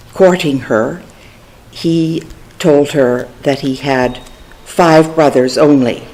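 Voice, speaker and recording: A woman's very deep, low voice in a Canadian accent, very slow and fairly even in intonation, over noticeable background noise. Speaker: family storyteller. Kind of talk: memoir reading.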